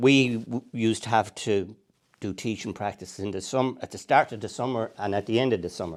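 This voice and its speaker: On a very clean recording with a silent background, a man with a medium pitch speaks at a fairly quick pace in a Tipperary accent, with ordinary pitch variation. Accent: Irish, Tipperary. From Ireland, Clonmel, County Tipperary. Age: 60s. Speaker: angler and retired primary school teacher. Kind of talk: casual interview.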